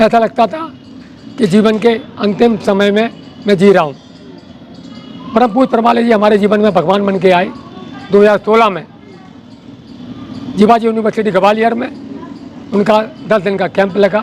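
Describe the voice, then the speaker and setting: Over noticeable background noise, a man with a high pitch speaks in fairly even intonation, with long, frequent pauses. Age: 60s. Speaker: engineer. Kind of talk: testimony.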